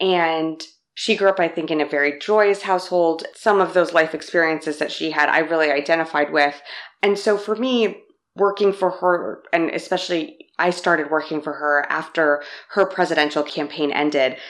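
At a fairly low pitch, a woman with an American accent speaks at a moderate pace with ordinary pitch variation. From Los Angeles, US. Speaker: political press secretary. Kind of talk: interview.

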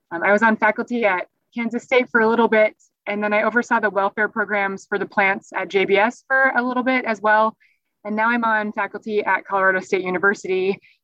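Over background music, a woman with an American accent speaks at a very fast pace. Her pitch is fairly high and her intonation fairly even. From US Northeast. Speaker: animal welfare professor. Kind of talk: interview.

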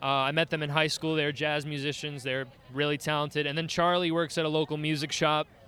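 With a New York accent, a man speaks at a fairly quick pace in a bright, sharp tone. His fairly high pitch stays monotone and flat. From Staten Island, New York. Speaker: band musician, illustrator and art teacher. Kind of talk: casual interview. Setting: live event at a bar.

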